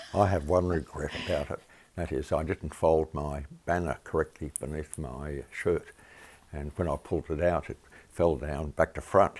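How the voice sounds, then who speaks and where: Speaking in an Australian accent, a man uses a very deep, low pitch with vocal fry and fairly even intonation. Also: moderate pace. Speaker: retired climate activist. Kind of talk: interview.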